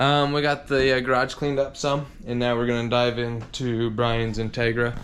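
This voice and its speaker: A man at medium pitch and moderate pace, with audible room echo. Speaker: car mechanic and video host. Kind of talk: workshop vlog tutorial. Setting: home garage. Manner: casual, filler-heavy.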